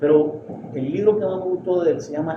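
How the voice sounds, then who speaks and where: With noticeable background noise and audible room echo, a man speaks with ordinary pitch variation. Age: 60s. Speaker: poet and literary critic. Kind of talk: interview. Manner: halting.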